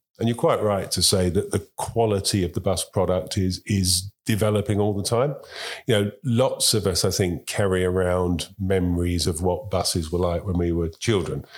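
A man with a London accent speaks at a moderate pace and fairly low pitch. His loudness is very even, and the recording is very clean with a silent background. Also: ordinary pitch variation. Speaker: transport industry chief executive. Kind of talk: interview. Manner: halting.

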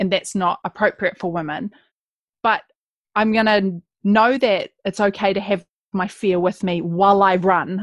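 A woman with a New Zealand accent speaks at a medium pitch with fairly even intonation, recorded dry and close with no echo. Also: quiet background. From New Zealand, West Coast. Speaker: writer and speaker. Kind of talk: interview.

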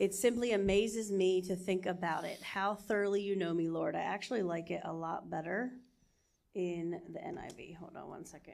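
A woman with an unremarkable speaking voice talks at a moderate pace and medium pitch, her intonation fairly even while her loudness swings a lot. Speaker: church member. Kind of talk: reading aloud.

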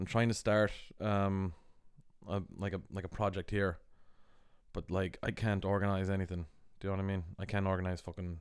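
A man with an American accent speaks fairly quickly in a very deep, low, monotone voice with flat intonation, leaving long, frequent pauses. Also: very clean recording, silent background. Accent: mid-Atlantic, between Irish and American. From Ireland, west, with years in the US. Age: 30s. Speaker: podcast host, artist and musician. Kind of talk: casual chat.

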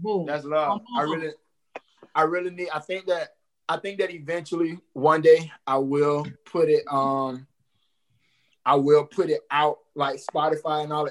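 With long, frequent pauses, a man speaks at a moderate pace in a fairly high pitch and with fairly even intonation. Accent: American. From Jacksonville, Florida. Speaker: hip hop artist. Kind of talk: casual interview. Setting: video call.

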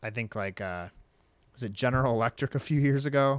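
Very cleanly recorded with a silent background and a dry, close sound free of echo, a man uses a normal speaking voice at medium pitch with ordinary pitch variation. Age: 30s. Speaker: podcast co-host. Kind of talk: casual chat.

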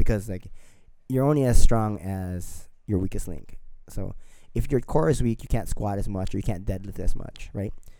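A man speaks at a moderate pace in a fairly low pitch, his tone dark and mellow. His loudness swings widely, and the room adds audible echo. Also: ordinary pitch variation. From Filipino. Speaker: podcast co-host, fitness coach. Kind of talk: casual chat.

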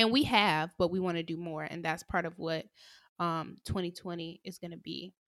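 A woman with an ordinary speaking voice at a fairly low pitch, fairly even intonation, a moderate pace and big swings in loudness, on a very clean recording with a silent background. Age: 20s. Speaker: podcast co-host. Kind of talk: casual chat.

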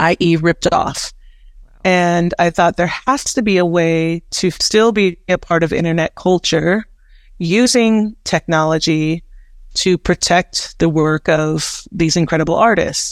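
A woman in an unremarkable speaking voice, fairly low in pitch, at a fairly slow pace with ordinary pitch variation and very even loudness, the sound dry and close with no echo. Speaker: web3 creative entrepreneur and curator. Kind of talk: casual interview conversation.

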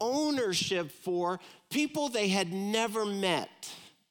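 Speaking very slowly with an American accent, a man uses a raised, projected voice that is high for a man, bright and sharp in tone, with very wide pitch swings. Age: 60s. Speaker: pastor. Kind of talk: sermon.

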